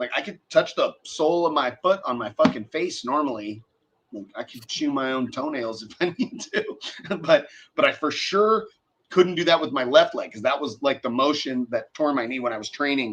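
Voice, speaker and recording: At a moderate pace, a man speaks in a plain, everyday voice with fairly high pitch, lively intonation and big swings in loudness. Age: 50s. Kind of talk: casual chat. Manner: casual, profane.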